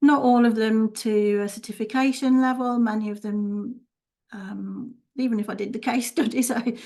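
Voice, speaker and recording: Her fairly high, somewhat breathy voice has a dark, mellow tone and a monotone, flat intonation. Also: moderate pace. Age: 60s. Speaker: holistic healer and teacher. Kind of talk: interview.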